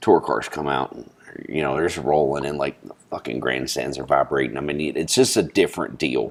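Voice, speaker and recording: A man with an American accent talks at a fairly quick pace in a very deep, low pitch. His loudness swings widely over noticeable background noise. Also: fairly even intonation. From Long Island, New York. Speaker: podcast host. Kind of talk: casual chat. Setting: sitting down with drinks.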